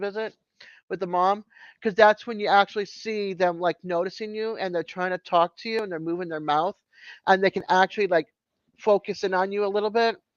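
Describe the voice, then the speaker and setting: A woman's medium-pitched voice with an American accent, fairly quick and fairly even in intonation, dry and close with no echo over a quiet background. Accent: Boston accent, comes out now and then. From Massachusetts. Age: 50s. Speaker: live streamer, works with newborns and mothers. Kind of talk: casual chat. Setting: live stream.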